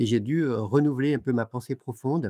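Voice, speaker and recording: Over a quiet background, a man talks at a fairly quick pace in a dark, mellow tone, the sound dry and close with no echo. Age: 60s. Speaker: author and lecturer. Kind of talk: interview. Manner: halting, many hesitations.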